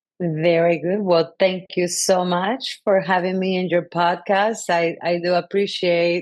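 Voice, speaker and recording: A woman's fairly low voice in a Spanish accent, at a fairly slow pace. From Colombia. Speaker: sustainability consultant and city council member. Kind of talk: podcast interview. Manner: halting, many fillers.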